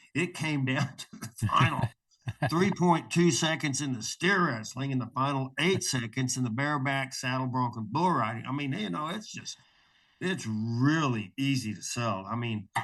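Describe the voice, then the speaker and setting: A plain, everyday voice: a man at medium pitch and a moderate pace. His intonation is lively, with a quiet background. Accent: American. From Oklahoma. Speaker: rodeo announcer. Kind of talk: interview answer.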